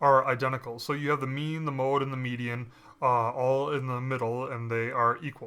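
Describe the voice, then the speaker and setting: With a bright, sharp tone and fairly even intonation, a man speaks at a medium pitch amid audible room echo. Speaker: statistics lecturer. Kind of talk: lecture. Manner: many fillers (um, uh).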